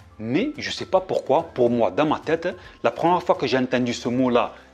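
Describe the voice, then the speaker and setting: A man speaks at a moderate pace with lively intonation while music plays in the background. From southern France. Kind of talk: casual talk to camera.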